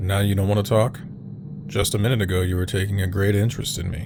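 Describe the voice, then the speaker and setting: A man booms out a put-on character voice at a fairly low pitch and a very fast pace. Loud background noise fills the recording. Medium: audio drama. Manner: gruff, measured.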